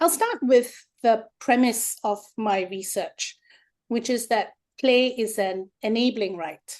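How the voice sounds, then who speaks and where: This woman talks at a very slow pace in a Singaporean accent, her pitch fairly high. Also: ordinary pitch variation. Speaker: researcher. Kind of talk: webinar lecture.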